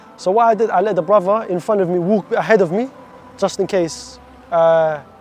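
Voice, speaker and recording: With a London accent, a man speaks at a high pitch using fairly even intonation. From London, England (moved from Iraq at seven). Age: 20s. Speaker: stabbing survivor sharing his story. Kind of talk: testimony.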